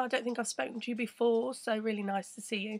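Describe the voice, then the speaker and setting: A woman talks at a fairly quick pace. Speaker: crypto livestream host. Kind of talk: casual live stream chat. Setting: live video stream.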